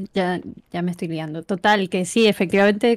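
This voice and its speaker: A woman talks at a moderate pace and a medium pitch. Her pitch varies in an ordinary way. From Canary Islands, Tenerife; Canary Islands. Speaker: university lecturer and researcher; university lecturer. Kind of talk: interview conversation. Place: home room.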